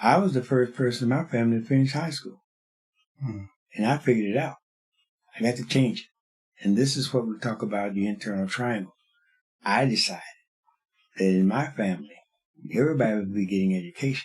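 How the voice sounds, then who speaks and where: The voice is somewhat breathy and moves at a fairly quick pace. Long pauses come often. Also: man, medium pitch for a man, ordinary pitch variation. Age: 80s+. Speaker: kung fu master. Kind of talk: interview answer.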